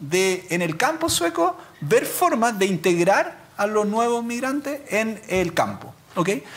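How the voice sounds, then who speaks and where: Speaking at a very slow pace in a Chilean accent, a man uses a high pitch with very wide swings. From Chile, Quillota. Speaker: law professor, labor lawyer. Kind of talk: academic talk. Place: hall. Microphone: podium.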